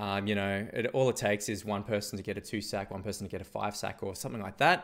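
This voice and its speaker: Vocal fry from a man with an Australian accent. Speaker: esports caster. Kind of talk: live commentary.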